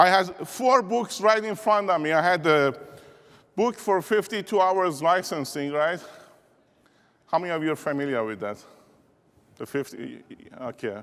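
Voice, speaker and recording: With an Iranian accent, a man speaks at a moderate pace, his pitch swinging very widely between long, frequent pauses. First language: Persian. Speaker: keynote speaker, insurance business leader. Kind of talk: motivational keynote speech. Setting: stage with audience. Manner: animated.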